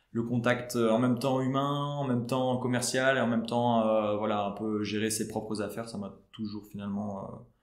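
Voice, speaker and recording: A man talks at a moderate pace and medium pitch, in a monotone, flat way with hardly any pauses. Audible room echo and noticeable background noise come through. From Belgium, Tournai. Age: 20s. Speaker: real estate agent. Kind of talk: podcast interview. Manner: hesitant, many fillers.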